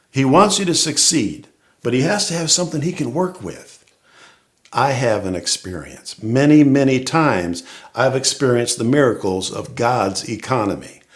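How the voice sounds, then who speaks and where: A man with an ordinary speaking voice, medium pitch and lively intonation talks at a moderate pace. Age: 60s. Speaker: church member giving testimony. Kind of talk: testimony. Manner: conversational, humorous.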